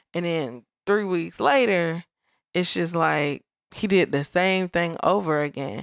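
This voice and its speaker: A woman speaks with a plain, everyday voice at a fairly low pitch and moderate pace, with ordinary pitch variation, in a dry, close sound with no echo against a quiet background. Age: 30s. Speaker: podcast co-host. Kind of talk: casual chat.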